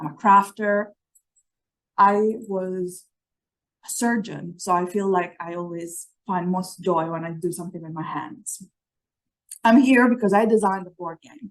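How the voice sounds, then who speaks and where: A woman with an Italian accent speaks at a fairly slow pace and medium pitch, with ordinary pitch variation. Her loudness swings widely, and her pauses are long and frequent. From Italy. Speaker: physician and medical educator. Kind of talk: conference presentation.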